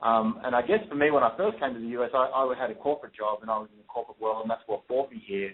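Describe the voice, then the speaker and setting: This man speaks very fast with a medium pitch and an Australian accent. His intonation is lively and his loudness swings widely. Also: hardly any pauses. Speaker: real estate investor. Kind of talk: radio interview.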